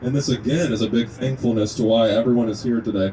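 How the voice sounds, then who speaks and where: A man with a slight Kentucky accent and ordinary pitch variation. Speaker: natural medicine student and activist speaker. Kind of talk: speech at an outdoor rally. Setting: outdoors at a rest stop with a crowd.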